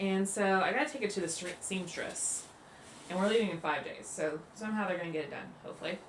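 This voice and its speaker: Talking at a very fast pace, a woman uses a medium pitch and ordinary pitch variation, with audible room echo and noticeable background noise. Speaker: family travel vlogger. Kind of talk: casual packing tutorial vlog. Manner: casual, chatty with fillers; quiet, hushed.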